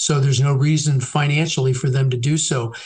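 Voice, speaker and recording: Speaking at a fairly quick pace, a man with an American accent uses a fairly high, somewhat breathy voice and fairly even intonation. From San Francisco Bay Area, California. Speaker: realtor. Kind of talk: casual interview. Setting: phone call.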